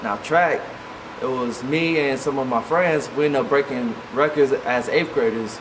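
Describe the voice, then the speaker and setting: Fairly slow speech with an American accent over noticeable background noise. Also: man. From Kansas, Junction City. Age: 20s. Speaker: athlete vlogger. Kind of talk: personal life story vlog.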